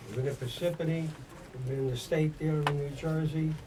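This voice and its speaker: Over noticeable background noise and audible room echo, a man with a fairly high voice talks at a moderate pace. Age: 70s. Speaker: singer, founder of a vocal group. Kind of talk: radio interview. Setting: radio studio. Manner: hesitant, many fillers.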